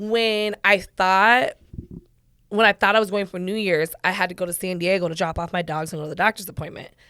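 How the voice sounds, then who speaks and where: A woman talks at a fairly quick pace with ordinary pitch variation. Her tone is animated. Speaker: podcast host. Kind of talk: casual chat. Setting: studio.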